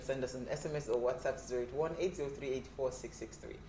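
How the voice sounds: Speech comes at a fast pace with fairly even intonation and audible room echo. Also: woman.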